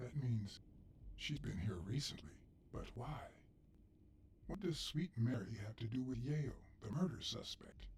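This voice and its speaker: A man does a put-on character voice at medium pitch and a moderate pace. He leaves long, frequent pauses, and clear background noise runs underneath. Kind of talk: hard-boiled voice-over. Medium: video game. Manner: dry, laconic.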